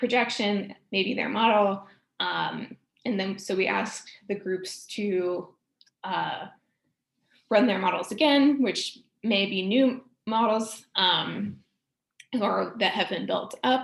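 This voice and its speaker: A woman speaks very slowly with long, frequent pauses and vocal fry. Her medium pitch shows ordinary variation. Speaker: postdoctoral researcher. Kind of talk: research talk. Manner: hesitant, many fillers.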